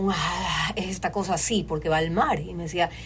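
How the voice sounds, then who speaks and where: A woman with a Guayaquil accent, fairly low pitch and fairly even intonation, amid noticeable background noise and audible room echo. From Ecuador, Guayaquil. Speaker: voice-over artist and creative director. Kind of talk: casual chat. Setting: studio.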